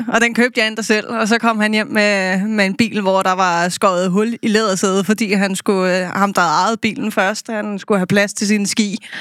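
A woman talks at a medium pitch with monotone, flat intonation and hardly any pauses. The recording is very clean, with a silent background. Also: moderate pace. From Copenhagen, Denmark. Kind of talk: casual chat. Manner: halting.

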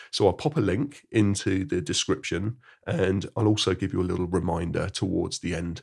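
The voice is somewhat breathy, with ordinary pitch variation. The recording is very clean, with a silent background. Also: man. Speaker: mindfulness teacher. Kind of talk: guided meditation; podcast monologue with guided meditation. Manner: slow, soothing, calm and gentle with unhurried pauses; soft-spoken.

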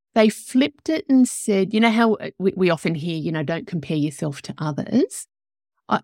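A woman with an Australian accent speaks at a moderate pace in a medium pitch, her intonation lively, on a very clean recording with a silent background and a dry, close sound with no echo. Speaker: podcast host, life coach. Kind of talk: casual interview chat. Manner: animated.

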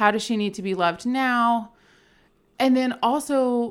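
In an American accent, the words come out at a very slow pace. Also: woman, very clean recording, silent background. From Richmond, Virginia. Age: 30s. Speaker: podcast co-host, gym founder. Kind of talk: casual chat. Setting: studio.

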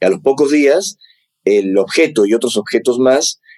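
A man speaks at a medium pitch with ordinary pitch variation. His tone is dark and mellow, and the sound is dry and close with no echo. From Peru, Lima. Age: 40s. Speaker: UFO researcher and author. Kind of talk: interview conversation.

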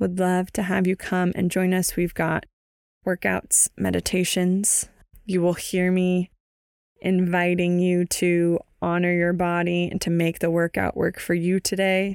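A woman's fairly low voice with an American accent, flat and monotone, at a fairly slow pace, with very even loudness, dry and close with no echo, on a very clean recording with a silent background. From US West Coast, San Francisco Bay Area. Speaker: fitness trainer and podcast host. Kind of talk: solo podcast talk.

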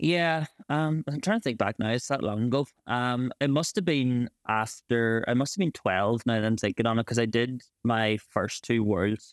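In a very clean recording with a silent background, a man speaks at a moderate pace with very even loudness. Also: medium pitch for a man, ordinary pitch variation, dry, close sound with no echo. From Ireland, County Donegal. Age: 20s. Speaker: champion Irish dancer and physiotherapist. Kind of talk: casual interview.

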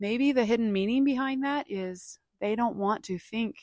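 Recorded very clean with a silent background and a dry, close sound with no echo, a woman speaks at a fairly slow pace with ordinary pitch variation. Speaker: podcast host and speaker. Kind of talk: solo motivational podcast monologue. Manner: passionate, talkative, animated; conversational, reflective.

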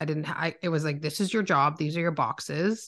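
A woman with a Canadian accent speaks fairly quickly at a very deep, low pitch, with vocal fry and ordinary pitch variation against a quiet background. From Ontario, Canada (Oakville). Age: 30s. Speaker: entrepreneur. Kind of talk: casual interview chat.

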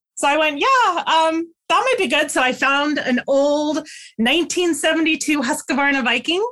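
A woman's high, bright and sharp voice, raised and projected, at very even loudness, with lively intonation and a moderate pace. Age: 50s. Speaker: quilter and sewing teacher. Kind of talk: casual chat. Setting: podcast interview.

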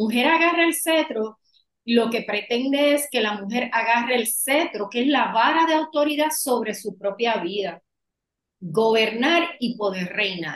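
A woman with a Puerto Rican accent, fairly high in pitch, with lively intonation. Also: fairly slow pace. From Puerto Rico. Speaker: women's empowerment coach. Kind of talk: podcast interview.

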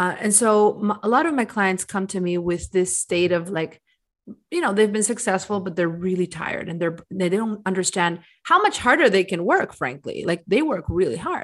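On a very clean recording with total silence behind her, the woman has an unremarkable speaking voice, a medium pitch, a moderate tempo and ordinary pitch variation. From US and Bolivia. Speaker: music business coach. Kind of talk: interview.

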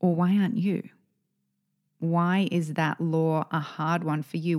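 A normal speaking voice moves at a fairly slow pace on a very clean recording with a silent background. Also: woman. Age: 40s. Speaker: podcast co-host, women's business coach. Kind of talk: casual chat.

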